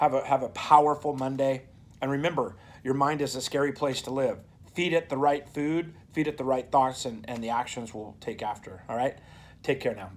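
At a moderate pace, a man talks, his pitch varying in an ordinary way. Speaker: motivational speaker. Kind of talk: motivational vlog talk. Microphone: phone near.

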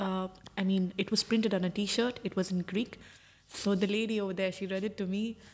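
Her intonation monotone and flat, a woman of medium pitch speaks at a very fast pace. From India. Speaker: traveller. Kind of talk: casual chat.

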